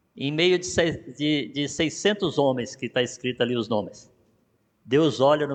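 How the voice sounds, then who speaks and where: A man with a Brazilian accent, ordinary pitch variation and a moderate pace, over a quiet background. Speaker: pastor. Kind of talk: sermon. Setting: church.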